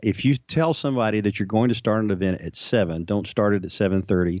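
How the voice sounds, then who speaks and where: Talking at a fairly quick pace, a man with an American accent has a fairly low pitch and ordinary pitch variation. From Texas. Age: 60s. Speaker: retired army officer and couples coach. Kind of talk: interview. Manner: halting.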